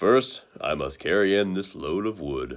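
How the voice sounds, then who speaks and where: A put-on character voice from a man, very deep and low in pitch, at a moderate pace. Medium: read story.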